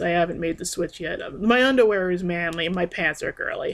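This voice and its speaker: A woman speaks with ordinary pitch variation in a very clean recording with a silent background. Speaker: vlogger. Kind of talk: personal vlog monologue. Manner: halting, many filler words; rambling.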